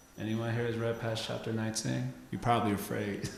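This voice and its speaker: Very fast speech from a man in a room with audible echo. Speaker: spiritual teacher. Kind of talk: lecture.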